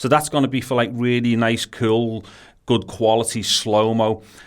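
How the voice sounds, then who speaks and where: Speaking in a strong Scouse accent, a man with a medium pitch keeps a moderate pace and fairly even intonation. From Liverpool, England. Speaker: tech video creator. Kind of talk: unboxing tutorial. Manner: casual, with hesitations.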